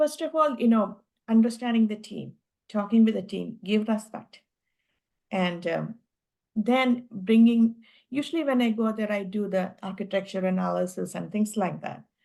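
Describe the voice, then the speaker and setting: This voice has a dark, mellow tone and an Indian accent. It moves at a moderate pace with ordinary pitch variation. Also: woman, fairly high pitch for a woman. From India, Kerala. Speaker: tech executive. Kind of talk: interview. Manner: halting.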